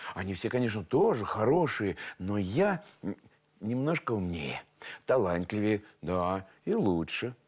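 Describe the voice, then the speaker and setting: Against a quiet background, a man speaks at a fairly slow pace with very wide pitch swings. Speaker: TV presenter, storyteller. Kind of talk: moral talk to viewers. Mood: warm, gently instructive. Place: studio.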